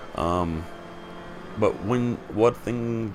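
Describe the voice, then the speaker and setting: A man's intonation is lively as noticeable background noise runs beneath him. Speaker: sim racing gamer. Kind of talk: gameplay commentary. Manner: casual, animated.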